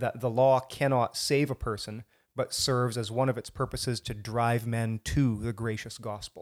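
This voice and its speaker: A man with an ordinary speaking voice talks at a medium pitch, fairly slowly, with fairly even intonation. The recording is very clean with a silent background and a dry, close sound with no echo. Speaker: co-host. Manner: joking, laughs often.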